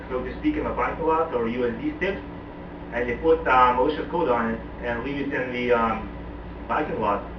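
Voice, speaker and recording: Fairly quick male speech amid audible room echo and noticeable background noise. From Lithuania. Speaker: information security consultant. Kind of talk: interview. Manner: hesitant, many fillers.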